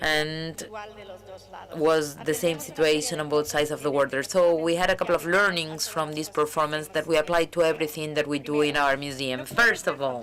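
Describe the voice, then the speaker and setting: A woman speaks at a fairly quick pace in a very deep, low voice with fairly even intonation, over noticeable background noise. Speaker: museum director. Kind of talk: conference talk.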